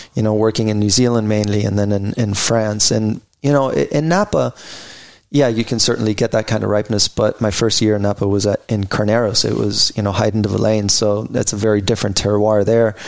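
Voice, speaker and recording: A man with a plain, everyday voice, fairly low in pitch, at a fairly quick pace, with fairly even intonation and very even loudness. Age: 40s. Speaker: winemaker. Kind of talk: casual chat.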